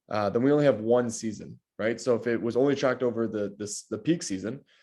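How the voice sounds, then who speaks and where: The background is quiet. A man speaks very fast, his pitch varying in an ordinary way. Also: medium pitch for a man. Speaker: real estate data analyst. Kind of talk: client consultation call. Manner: long run-on sentences, talkative; casual, many fillers.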